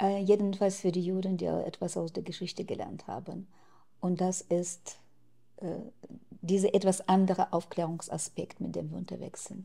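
Speaking at a moderate pace, a woman with a medium pitch uses monotone, flat intonation, vocal fry and a dark, mellow tone against a quiet background. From Ukraine. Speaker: activist; interviewee. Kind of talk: interview. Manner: hesitant with fillers. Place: home room. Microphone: lapel.

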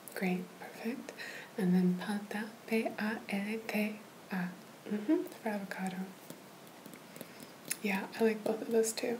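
Soft-spoken with a gentle tone, a woman uses ordinary pitch variation and long, frequent pauses. Light background noise is present. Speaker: language tutor. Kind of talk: tutorial. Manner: soft, gentle ASMR voice. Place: home room. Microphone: webcam.

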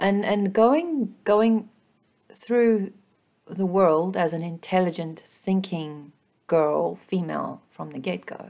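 Against a quiet background, a dark, mellow voice speaks at a very slow pace with ordinary pitch variation. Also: woman. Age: 40s. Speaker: feminist commentary vlogger. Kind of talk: solo opinion monologue. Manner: halting, many repeated words. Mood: earnest, reflective. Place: home room. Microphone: webcam.

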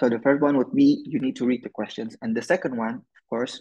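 A man's plain, everyday voice at a medium pitch, fairly quick in pace, with fairly even intonation. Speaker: exchange student, essay workshop presenter. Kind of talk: online workshop presentation.

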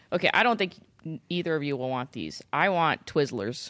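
Over a quiet background, a woman speaks at a fairly quick pace with vocal fry and a very deep, low pitch that makes very wide swings. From US, child of Indian immigrants. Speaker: pastor. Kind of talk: casual chat. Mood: thoughtful, warm. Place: studio. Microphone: studio mic.

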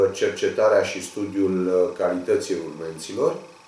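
This man takes a fairly slow pace. His words carry audible room echo. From Romania. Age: 50s. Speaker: union leader and local election candidate; election candidate. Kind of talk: campaign video statement. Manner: formal. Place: office.

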